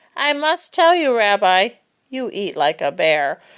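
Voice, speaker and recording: A woman uses a put-on character voice at a fairly high pitch, with very wide pitch swings. She speaks at a fairly slow pace on a very clean recording with a silent background. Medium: read story. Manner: warm, gentle.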